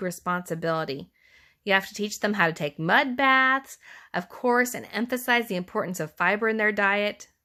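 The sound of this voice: Lively intonation marks this unforced reading of the text.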